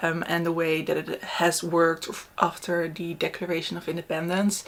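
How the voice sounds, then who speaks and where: At a moderate speed, the voice carries a non-native accent. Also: woman. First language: not English. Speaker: book reviewer. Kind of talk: casual book review chat. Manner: casual, hesitant with fillers.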